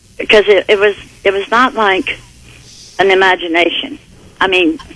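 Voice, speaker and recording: Noticeable background noise accompanies a voice at a moderate pace with ordinary pitch variation. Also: woman, medium pitch for a woman. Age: 60s. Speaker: caller. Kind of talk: phone-in call. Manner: halting.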